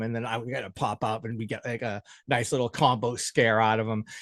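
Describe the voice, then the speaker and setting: In a dry, close sound with no echo and a quiet background, a man with an American accent talks at a fairly quick pace in an animated tone. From Massachusetts (Boston area). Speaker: podcast host and phone repair shop owner. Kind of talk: casual interview chat. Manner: animated, with many fillers and restarts.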